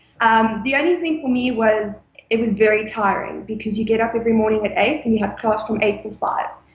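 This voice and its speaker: A woman's fairly high, somewhat breathy voice at a fairly quick pace, with ordinary pitch variation and hardly any pauses. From South Africa, Mpumalanga. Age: 20s. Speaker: former au pair. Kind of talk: interview.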